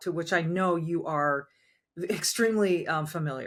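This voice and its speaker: An ordinary speaking voice from a woman, fairly low in pitch with lively intonation, at a moderate pace on a very clean recording with a silent background. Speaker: former sportscaster, podcast host and commentator. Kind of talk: podcast interview host.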